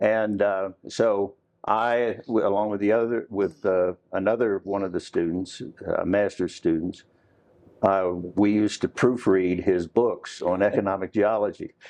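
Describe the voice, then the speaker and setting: Against a quiet background, a man with an American accent talks fairly slowly at a fairly low pitch, his intonation monotone and flat. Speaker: mineral economist. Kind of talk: oral history interview answer. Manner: hesitant, casual.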